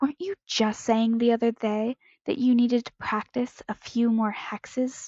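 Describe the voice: Plain reading aloud with fairly even intonation comes through over a quiet background.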